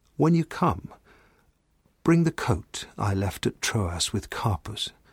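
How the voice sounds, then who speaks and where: A man speaks with lively intonation and a somewhat breathy voice. The recording is very clean, dry and close, with a silent background and no echo. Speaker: scripture reader. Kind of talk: reading aloud.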